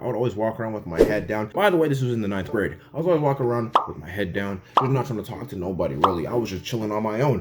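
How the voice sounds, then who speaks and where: Amid noticeable background noise, a man with a slight Toronto accent speaks very fast. His tone is animated and his intonation is lively. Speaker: YouTuber. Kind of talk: comedic storytelling.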